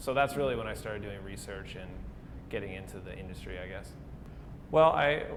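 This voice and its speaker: A man with an American accent talks at a fairly quick pace, broken by long, frequent pauses and big swings in loudness. Audible room echo and noticeable background noise surround him. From South Dakota (Pierre). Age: 20s. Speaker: coffee shop owner. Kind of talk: interview. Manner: casual, with frequent fillers.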